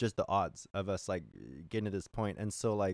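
A man with an American accent at a very fast pace, dry and close sound with no echo. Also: very clean recording, silent background. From California. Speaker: singer-songwriter. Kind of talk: casual chat. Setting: on a boat.

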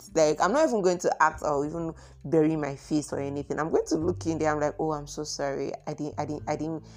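A woman speaks at a very fast pace in a very deep, low pitch. Her voice carries vocal fry. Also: ordinary pitch variation. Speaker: solo podcast host. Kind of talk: solo podcast monologue. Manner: soft-spoken; hesitant, many fillers.

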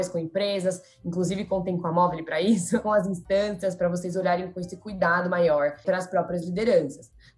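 A woman speaks at a fairly quick pace in a normal speaking voice, her medium pitch carried by fairly even intonation. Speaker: marketing professional, former junior enterprise president. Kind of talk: podcast interview.

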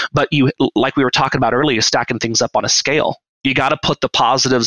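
A man with an American accent speaks in a normal speaking voice at a fairly quick pace, with medium pitch and fairly even intonation. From Washington State, US. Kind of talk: casual chat.

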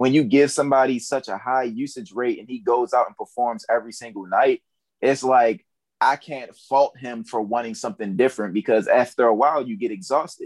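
A man with an American accent has an ordinary speaking voice at a medium pitch, moving at a fairly quick pace with ordinary pitch variation and big swings in loudness, on a very clean recording with a silent background and a dry, close sound with no echo. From Baltimore, Maryland. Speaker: content creator and rapper. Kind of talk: casual chat.

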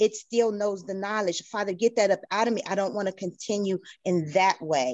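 A woman at medium pitch, moderate pace and ordinary pitch variation, an unremarkable speaking voice. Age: 50s. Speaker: church member. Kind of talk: testimony.

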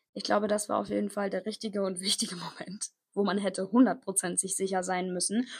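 The recording is very clean, with a silent background. A woman speaks at a moderate pace in an energetic, somewhat breathy tone. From Koblenz, western Germany. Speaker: podcast host, online entrepreneur and mindset coach. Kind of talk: motivational monologue.

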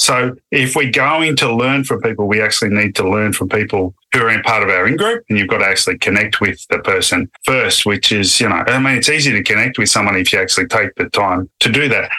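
Talking at a fairly quick pace, this man speaks with an Australian accent. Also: medium pitch for a man, ordinary pitch variation, hardly any pauses, very even loudness. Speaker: neuroscientist. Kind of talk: interview.

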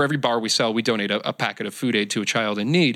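A man talks in a plain, everyday voice at a fairly quick pace and medium pitch, with ordinary pitch variation. The recording is very clean, with a silent background. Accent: American. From Michigan. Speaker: actor and entrepreneur. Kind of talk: interview conversation. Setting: studio, sharing one microphone with host.

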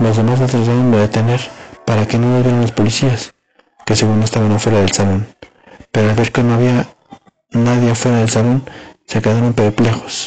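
A man with a Mexican accent at a medium pitch, monotone and flat, with very even loudness, long, frequent pauses and music in the background. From Mexico. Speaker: storyteller reading a horror tale. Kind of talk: ghost story telling, scripted-sounding narration of a campus horror tale.

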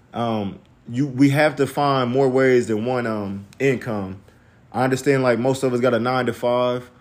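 A man's unremarkable speaking voice with an American accent, medium pitch, moderate pace and fairly even intonation. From US Midwest. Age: 30s. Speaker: podcast host. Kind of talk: casual chat. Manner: casual, filler-heavy.

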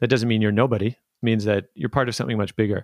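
In a dry, close recording with no echo and a very clean, silent background, a man uses an unremarkable speaking voice with fairly even intonation. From Canada, Vancouver suburbs. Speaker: documentary filmmaker and podcast host. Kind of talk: interview conversation.

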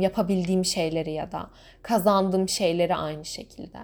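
On a very clean recording with a silent background, a woman with a dark, mellow tone speaks at a moderate pace with fairly even intonation. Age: 20s. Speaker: podcaster. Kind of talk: solo podcast monologue.

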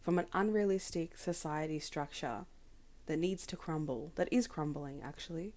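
With an Australian accent, a woman talks at a moderate pace in a dark, mellow tone. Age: 20s. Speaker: podcaster and advocate. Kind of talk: solo podcast monologue.

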